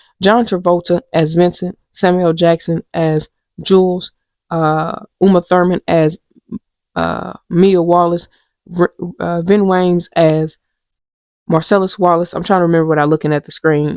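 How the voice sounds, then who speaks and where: The quiet, fairly slow speech comes in a flat monotone with long, frequent pauses and a dry, close sound free of echo. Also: woman, fairly low pitch for a woman. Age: 30s. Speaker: podcast host. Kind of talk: casual chat. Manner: quiet, talking low; halting, many fillers.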